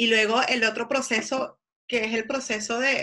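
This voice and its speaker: Her intonation fairly even, a woman speaks with fairly high pitch. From Venezuela. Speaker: psychologist. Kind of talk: casual interview.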